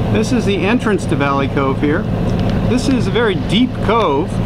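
The voice moves at a moderate pace over loud background noise. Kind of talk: casual narration while cruising. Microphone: phone near.

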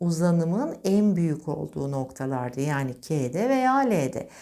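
Amid audible room echo, a woman with a dark, mellow tone and a fairly low pitch speaks at a very slow pace, her pitch swinging very widely. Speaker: physics teacher. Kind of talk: lecture.

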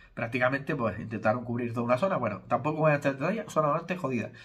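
Somewhat breathy, a man talks at a very fast pace over a quiet background. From Spain. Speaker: YouTuber and hair transplant consultant; YouTuber. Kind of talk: casual vlog monologue. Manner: informal, conversational. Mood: critical, explanatory. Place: home room. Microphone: phone near.

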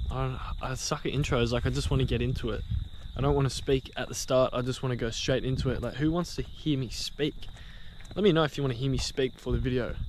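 Speaking at a very fast pace, a man is recorded with dry sound and no echo over light background noise. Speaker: urban explorer vlogger. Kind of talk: casual vlog chat. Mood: joking, playful banter. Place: street. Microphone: phone near.

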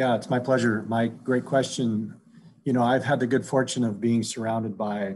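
A man with an Alaskan accent speaks at a medium pitch with fairly even intonation over light background noise. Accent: Alaskan American English. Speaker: Alaska Native corporation CEO; panelist. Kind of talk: panel discussion. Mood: warm, reflective. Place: home room. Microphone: video call.

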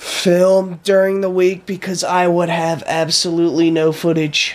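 A man talks in a weary tone. His pace is fairly slow. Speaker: vlogger. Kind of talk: casual vlog chat. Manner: weary, congested sick voice. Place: home room. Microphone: phone near.

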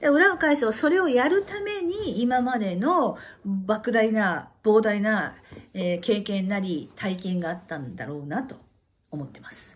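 Big swings in loudness and very wide pitch swings mark this animated voice, delivered at a fairly slow pace. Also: woman. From Japan. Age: 50s. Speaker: channel host sharing life stories. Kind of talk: casual monologue recounting personal life. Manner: animated, chatty, laughing. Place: home room. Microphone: phone near.

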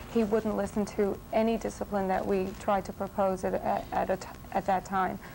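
Light background noise sits behind a woman talking at a moderate pace with fairly even intonation. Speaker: talk show guest. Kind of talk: interview answer. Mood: earnest, explaining family problems. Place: studio. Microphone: lapel.

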